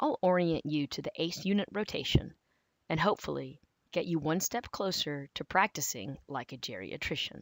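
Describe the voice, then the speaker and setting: A woman with a fairly low pitch, vocal fry and lively intonation talks at a moderate pace. The recording is very clean with a silent background and a dry, close sound with no echo. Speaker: medical resident. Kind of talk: orientation tutorial.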